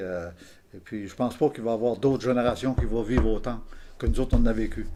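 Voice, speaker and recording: Over music in the background, a man speaks at a medium pitch with fairly even intonation. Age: 70s. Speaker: retired electrician. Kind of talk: interview with youths. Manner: halting.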